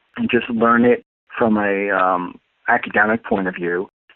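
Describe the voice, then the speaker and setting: In a New York accent, a man speaks at a medium pitch. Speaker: astrologer and life coach. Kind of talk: interview.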